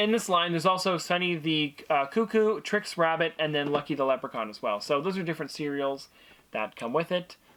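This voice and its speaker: This man has an unremarkable speaking voice, fairly high in pitch with ordinary pitch variation. He talks at a fairly quick pace. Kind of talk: casual talk to camera.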